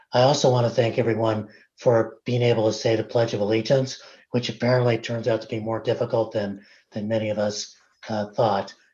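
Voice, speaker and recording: A man's medium-pitched, dark, mellow, somewhat breathy voice in a flat monotone at a fairly quick pace, over a quiet background. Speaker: invited speaker, academic. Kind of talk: presentation to a board meeting. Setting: video call.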